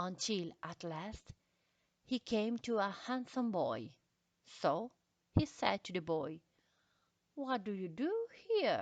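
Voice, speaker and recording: A woman with a non-native accent and fairly high pitch speaks at a very slow pace, with very wide pitch swings and long, frequent pauses. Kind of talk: classic short story reading.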